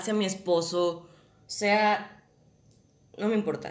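There is audible room echo around a woman's voice. Noticeable background noise is also present. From Mexico, Guadalajara. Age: 20s. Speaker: actress. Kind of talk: casual chat.

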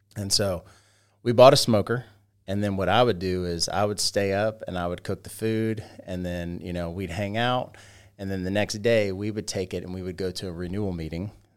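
In an American accent, a man with a normal speaking voice talks at a moderate pace, fairly low pitch and fairly even intonation, on a very clean recording with a silent background. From US South, Georgia. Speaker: barbecue business owner. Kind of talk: casual interview.

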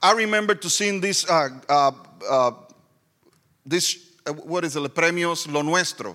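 A man with a high pitch and bright, sharp tone, at a moderate pace with ordinary pitch variation and long, frequent pauses. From Puerto Rico. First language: Spanish. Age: 40s. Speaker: pastor. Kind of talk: sermon. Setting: church with live audience.

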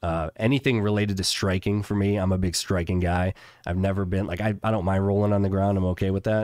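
A very fast male voice with an American accent, fairly low in pitch and monotone, flat in intonation, on a very clean recording with a silent background. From Chicago, US Midwest. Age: 40s. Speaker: insurance business owner. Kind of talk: casual interview.

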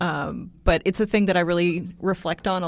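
With an American accent, a woman speaks at a moderate pace in a fairly low pitch with fairly even intonation and an ordinary speaking voice. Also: very clean recording, silent background. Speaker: co-host and PhD student. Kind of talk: casual chat.

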